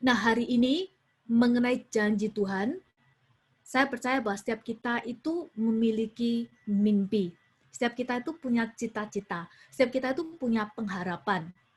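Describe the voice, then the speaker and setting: A woman's fairly high voice moves at a moderate speed, its pitch varying in an ordinary way, over a quiet background. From Indonesia, Surabaya (East Java). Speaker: youth preacher. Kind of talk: sermon. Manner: mixes Indonesian with English phrases.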